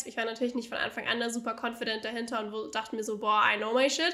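In a bright, sharp and animated tone, a woman speaks at a very fast pace with a fairly high pitch. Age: 20s. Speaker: business coach. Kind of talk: casual interview.

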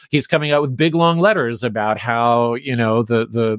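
Very clean and set against a silent background, this recording has a man at a medium pitch speaking at a moderate pace. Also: dry, close sound with no echo. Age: 50s. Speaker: podcaster and cult researcher. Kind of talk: interview. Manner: halting, repeats words.

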